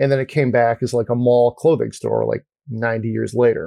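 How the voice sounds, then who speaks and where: A voice with a dark, mellow tone moves at a moderate pace, its sound dry and close with no echo. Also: man. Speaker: podcast host. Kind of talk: casual chat.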